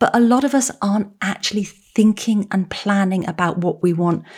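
A woman with an English accent, medium pitch and ordinary pitch variation, on a very clean recording with a silent background. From England. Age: 50s. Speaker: author and psychotherapist. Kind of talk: interview.

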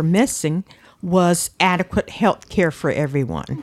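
A woman at a fairly slow pace with a coastal North Carolina accent, in a dry, close sound with no echo. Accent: coastal North Carolina Southern. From Outer Banks, North Carolina (Manteo, Roanoke Island). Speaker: retired water department supervisor, community member. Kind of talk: interview, personal memories.

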